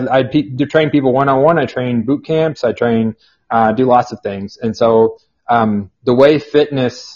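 Speaking at a fairly slow pace, a man with an American accent keeps a medium pitch and fairly even intonation. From Kansas. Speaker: personal trainer and fitness author. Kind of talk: podcast interview. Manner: halting.

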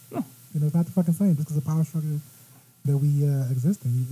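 The voice moves at a very fast pace, somewhat breathy and dark and mellow in tone, with ordinary pitch variation. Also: man. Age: 30s. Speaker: podcast guest. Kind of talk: casual chat.

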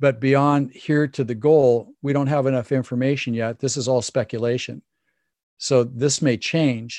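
A man speaks at a moderate pace and a medium pitch, his intonation fairly even. The sound is dry and close with no echo, over a quiet background. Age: 60s. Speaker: performance coach and former Olympic cyclist. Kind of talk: interview. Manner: hesitant fillers.

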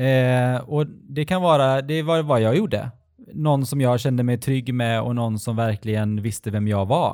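In a very clean recording with a silent background, a man speaks at a medium pitch and moderate pace, with ordinary pitch variation and a dark, mellow tone. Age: 40s. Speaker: podcast co-host. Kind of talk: casual chat.

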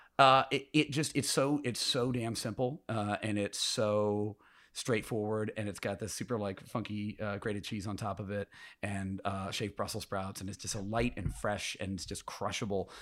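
A man with an American accent speaks at a moderate pace in a fairly low pitch. The recording is very clean with a silent background, and his pitch varies an ordinary amount. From Indiana, US Midwest. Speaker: bar beverage director and author. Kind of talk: casual interview.

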